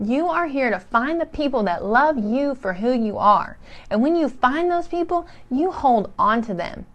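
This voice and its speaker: A woman speaks loudly in a high pitch with an energetic, excited tone. Her pitch swings very widely at a moderate pace. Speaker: motivational speaker / live streamer. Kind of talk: live stream talk to viewers. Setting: live online stream.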